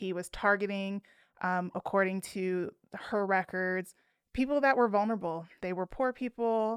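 An unremarkable speaking voice moves at a moderate pace with ordinary pitch variation, recorded very cleanly against a silent background in a dry, close sound with no echo. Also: woman, medium pitch for a woman. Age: 30s. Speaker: podcast host. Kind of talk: casual interview chat. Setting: studio.

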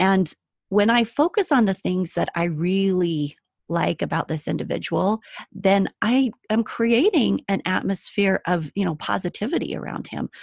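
A woman with an American accent talks at a moderate pace, and the sound is dry and close with no echo. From United States. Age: 40s. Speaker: podcast host and folklore researcher. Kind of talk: interview conversation.

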